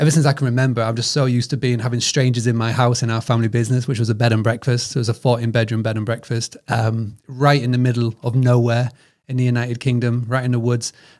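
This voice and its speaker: A man with a British accent speaks at a very fast pace with hardly any pauses, his medium-pitched voice monotone and flat in intonation. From northern England. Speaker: hospitality business founder. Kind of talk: podcast interview. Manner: halting.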